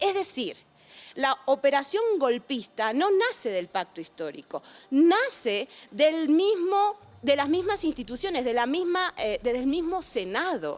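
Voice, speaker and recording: At a fairly slow pace, a woman with an Argentine accent speaks in a high pitch with very wide pitch swings. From Argentina. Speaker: philosopher. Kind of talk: interview. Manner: animated.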